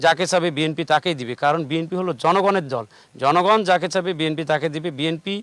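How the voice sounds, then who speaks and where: The speaker is a man with a high voice. Its rise and fall is normal. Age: 40s. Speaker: local politician. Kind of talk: political interview. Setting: outdoors with large crowd.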